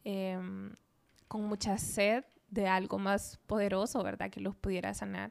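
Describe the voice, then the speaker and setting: On a very clean recording with a silent background, a woman speaks at a medium pitch and a fairly slow pace. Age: 30s. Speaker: physician. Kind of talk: casual chat.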